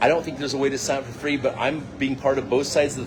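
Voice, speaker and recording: Over noticeable background noise, a man speaks in an animated tone at a very fast pace. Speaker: crypto and network marketing promoter. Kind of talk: casual vlog talk.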